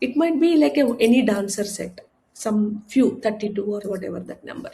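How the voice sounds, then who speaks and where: Somewhat breathy and with a dark, mellow tone, a woman speaks at a fairly high pitch and moderate pace with lively intonation. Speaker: spiritual guru. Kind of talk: interview. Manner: halting.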